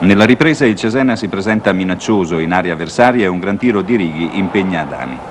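A man talking very fast with lively intonation amid noticeable background noise. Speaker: newsreel sports commentator. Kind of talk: 1970 sports newsreel commentary, scripted narration. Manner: formal, brisk, authoritative newsreel narrator.

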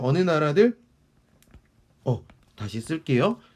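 This man's pitch is fairly high. It swings very widely. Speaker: history teacher. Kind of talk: lecture. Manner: conversational, rhetorical questions.

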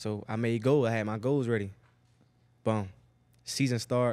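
Against a quiet background, a man speaks at a moderate pace. His intonation stays fairly even. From Miami, Florida (Liberty City); Florida. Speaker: NFL wide receiver; podcast guest. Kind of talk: casual chat. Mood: relaxed, laid-back. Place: studio. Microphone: studio mic.

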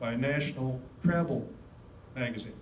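There is audible room echo as a man talks at a moderate pace. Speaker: presenter. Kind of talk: lecture. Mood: light, anecdotal. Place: meeting room.

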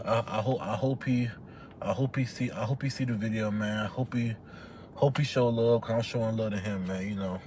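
A man speaks at a fairly quick pace with a somewhat breathy voice and fairly even intonation, the sound dry with no echo over light background noise. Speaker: vlogger. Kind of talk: casual vlog chat intro. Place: car. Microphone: phone near.

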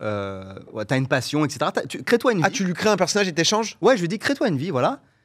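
A man's pitch swings very widely, over a quiet background. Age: 30s. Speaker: content creator; guest. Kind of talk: casual chat. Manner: hesitant, many fillers. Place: studio. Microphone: studio mic.

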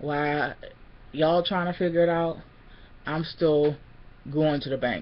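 A woman's very deep, low voice at a fairly slow pace with fairly even intonation. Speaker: vlogger. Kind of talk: casual vlog chat, venting. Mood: annoyed, defiant. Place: home room. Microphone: webcam.

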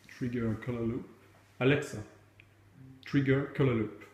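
Over light background noise and audible room echo, a man speaks with a French accent, somewhat breathy, his intonation fairly even. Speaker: tech video creator. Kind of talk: tutorial. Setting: at home. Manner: hesitant, many fillers. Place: home room. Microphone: phone near.

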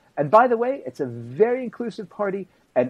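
This is a man speaking. His pitch swings very widely. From Israel. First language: Hebrew. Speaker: journalist and author; guest commentator. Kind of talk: interview. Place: home room. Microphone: video call.

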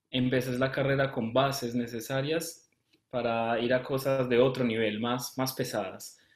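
A man speaks in a monotone, flat intonation at a fairly slow pace, with audible room echo and a quiet background. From Colombia. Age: 20s. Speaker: medical student. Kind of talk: live interview. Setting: live stream. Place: home room. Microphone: webcam.

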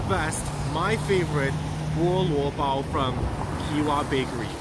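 A man talks at a very slow pace while loud background noise plays. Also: dry sound with no echo. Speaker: food tour guide. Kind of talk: casual vlog chat. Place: street. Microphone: phone near.

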